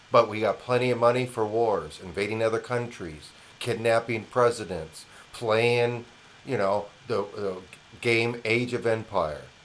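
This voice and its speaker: A man with an American accent and a medium pitch talks at a fairly slow pace. There is noticeable background noise. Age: 60s. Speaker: independent news commentator. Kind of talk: opinion monologue. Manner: animated.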